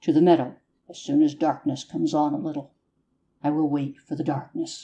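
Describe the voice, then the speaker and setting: In a put-on character voice, a man talks fairly quickly at a fairly high pitch, monotone in intonation but swinging widely in loudness. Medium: audio drama. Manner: nervous, chattering.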